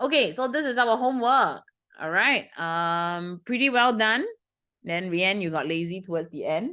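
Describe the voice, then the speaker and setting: A woman with a Singaporean accent talks in an animated tone. Her pace is moderate against a quiet background. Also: medium pitch for a woman, lively intonation. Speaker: math tutor. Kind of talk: lesson to students.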